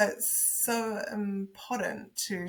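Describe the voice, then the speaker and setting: A woman with a New Zealand accent. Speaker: podcast co-host. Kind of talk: casual interview. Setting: podcast interview.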